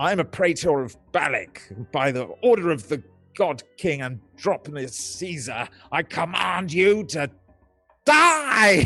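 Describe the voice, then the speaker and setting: In a loud, put-on character voice with music in the background, a man with a high pitch speaks at a fairly slow pace with very wide pitch swings. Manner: loud, commanding.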